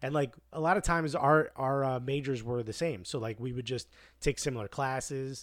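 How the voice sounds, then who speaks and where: The recording is very clean, with a silent background. A man with an American accent talks with ordinary pitch variation. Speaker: guest. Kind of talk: casual chat.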